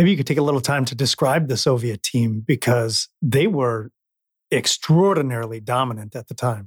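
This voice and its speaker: A man talks in a somewhat breathy voice at a moderate pace with ordinary pitch variation. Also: medium pitch for a man, dry, close sound with no echo. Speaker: podcast host. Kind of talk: interview; scripted narration.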